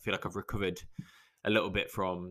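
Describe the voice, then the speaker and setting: A man with a very deep, low pitch, a bright, sharp tone and fairly even intonation, on a very clean recording with a silent background. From English Midlands, Lichfield. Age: 30s. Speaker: podcast host. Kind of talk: solo casual monologue. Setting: garden shed studio. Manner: casual, rambling pace.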